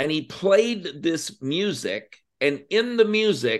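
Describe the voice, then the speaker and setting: Lively intonation marks this man's speech. He has an American accent. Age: 50s. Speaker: entrepreneur and army veteran. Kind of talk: interview.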